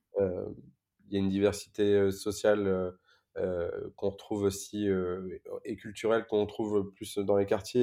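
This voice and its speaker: On a very clean recording with a silent background, a man speaks in monotone, flat intonation, his pitch fairly low and his tone dark and mellow. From Paris suburbs, France (Évry-Courcouronne). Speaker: nonprofit co-founder. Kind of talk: interview.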